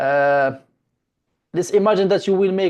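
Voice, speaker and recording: Against a quiet background, a man with a non-native accent speaks with lively intonation. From Morocco. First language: not English. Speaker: domain investing teacher. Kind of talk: online class session.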